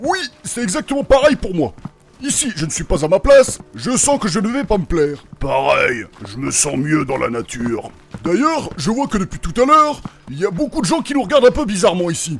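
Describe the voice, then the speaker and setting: A man's put-on character voice, high-pitched with very wide pitch swings, at a moderate pace over music in the background. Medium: audio drama. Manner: casual, vulgar, slangy.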